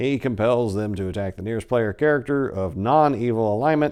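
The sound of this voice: Someone reads aloud in an unforced voice.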